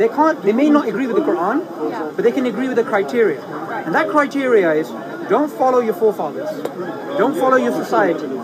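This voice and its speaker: Over crowd noise in the background, the speaker talks at a fairly quick pace with very wide pitch swings. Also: man. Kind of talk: street preaching, explaining religion to a passerby. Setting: outdoors at a public speaking spot.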